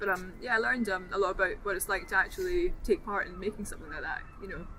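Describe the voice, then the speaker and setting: Someone speaks at a fairly quick pace with a Dundee accent. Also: woman. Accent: Scottish (Dundee). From Scotland, Dundee. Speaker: mental health service user. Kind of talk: interview. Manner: halting, many fillers.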